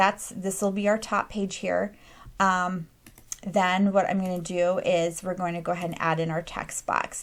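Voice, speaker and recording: This is a normal speaking voice with fairly even intonation at a moderate pace. The recording is very clean, with a silent background. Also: woman. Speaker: craft and printables tutorial creator. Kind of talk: screen-recorded software tutorial. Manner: casual with frequent fillers (um, uh).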